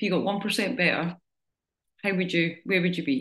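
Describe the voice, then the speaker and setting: This woman has a bright, sharp tone at a medium pitch. She talks at a fairly quick pace. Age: 40s. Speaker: fitness coach. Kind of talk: group coaching talk. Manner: casual.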